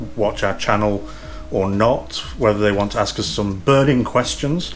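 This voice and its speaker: Over music in the background, a man with an East Midlands accent talks at a moderate pace and medium pitch, with ordinary pitch variation. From English East Midlands, Derbyshire. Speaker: YouTube vlogger. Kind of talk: casual Q&A chat.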